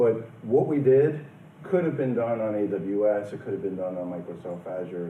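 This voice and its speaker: Speaking with a New York accent, a man has a fairly low pitch and lively intonation. His pace is fairly quick, and audible room echo surrounds him. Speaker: company president and conference speaker. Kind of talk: conference presentation. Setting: conference room with audience.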